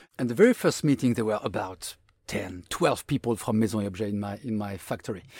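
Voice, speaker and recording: A man with a French accent speaks at a fairly quick pace in a fairly low voice with ordinary pitch variation, on a very clean recording with a silent background. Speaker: designer, designer of the year. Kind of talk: interview conversation.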